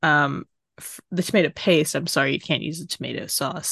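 Recorded with a dry, close sound with no echo and a quiet background, a woman with vocal fry speaks at a moderate pace with ordinary pitch variation. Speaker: podcast co-host. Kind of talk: casual chat.

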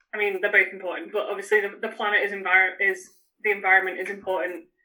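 A woman with a medium-pitched voice and a northern English accent. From northern England. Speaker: runner. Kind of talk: casual chat. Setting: video call.

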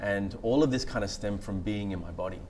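With an Australian accent, a man is talking. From Australia, far north Queensland (born Sri Lanka, moved at 6). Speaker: meditation teacher. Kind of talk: guided meditation; interview before a live audience. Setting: stage with audience. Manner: hesitant, many fillers.

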